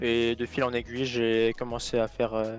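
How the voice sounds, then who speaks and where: The speaker here is male. Clear background noise can be heard throughout. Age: 20s. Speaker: esports player. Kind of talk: interview.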